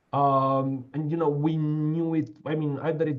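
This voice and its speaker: A somewhat breathy, fairly high-pitched male voice. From Romania. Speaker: law professor. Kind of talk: lecture Q&A discussion. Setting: online video call. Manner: halting, many fillers.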